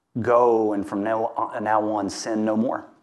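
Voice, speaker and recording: This man speaks with a Southern US accent. The background is quiet. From US South, Louisiana. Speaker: guest preacher. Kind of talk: sermon.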